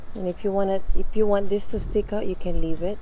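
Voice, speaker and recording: A woman with a Filipino accent at a fairly quick pace, with fairly even intonation. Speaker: craft youtuber. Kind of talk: tutorial. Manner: casual, chatty.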